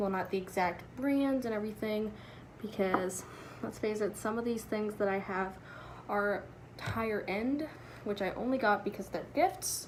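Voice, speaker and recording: A woman speaks at a fairly high pitch, with noticeable background noise and audible room echo. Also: ordinary pitch variation, moderate pace. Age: young. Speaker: beauty vlogger. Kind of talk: tutorial.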